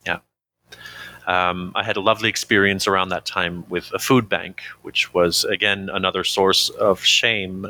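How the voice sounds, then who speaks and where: The delivery is monotone with flat intonation, at a moderate pace. The tone is bright and sharp. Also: man, fairly low pitch for a man. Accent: Canadian. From Canada. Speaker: recovering addict. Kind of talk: interview testimony. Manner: halting.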